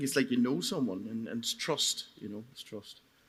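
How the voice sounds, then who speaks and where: A man speaks in a Donegal accent. He talks very fast, with ordinary pitch variation. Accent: Donegal Irish. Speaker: market gardener. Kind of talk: live panel discussion. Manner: halting, repeats words.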